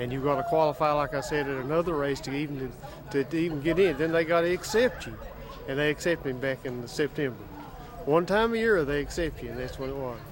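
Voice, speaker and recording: A man speaks very fast in an Appalachian accent, his fairly high voice showing ordinary pitch variation. Noticeable background noise runs underneath. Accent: Appalachian American. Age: 60s. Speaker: marathon runner. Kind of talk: interview. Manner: halting.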